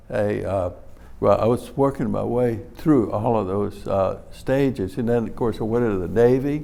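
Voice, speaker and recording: In a Louisiana accent, a man with a dark, mellow tone talks at a medium pitch and fairly slow pace, with ordinary pitch variation. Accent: Southern US, Louisiana. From New Iberia, Louisiana. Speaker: hot sauce company founder. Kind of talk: interview answer.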